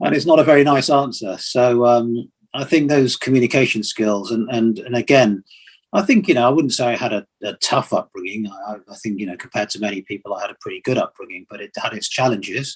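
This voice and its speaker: Speaking at a fairly quick pace, a man with a medium pitch shows ordinary pitch variation and big swings in loudness. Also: dry, close sound with no echo. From England and Nigeria (London-born, Nigerian father). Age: 60s. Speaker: retired engineering and transport executive. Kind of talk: interview on leadership and life story.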